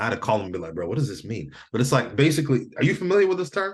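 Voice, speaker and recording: With an American accent and vocal fry, a man speaks at a very fast pace, his pitch swinging very widely. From Michigan, US. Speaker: entrepreneur and physical therapist. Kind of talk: casual chat. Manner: animated.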